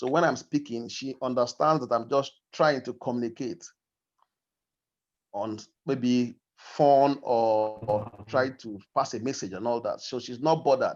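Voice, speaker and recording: At a fairly slow pace, a man with a Nigerian accent speaks at a medium pitch with ordinary pitch variation. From Nigeria, Igbo, grew up in Kogi State. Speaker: discussion participant. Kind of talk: group discussion. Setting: video call. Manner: halting.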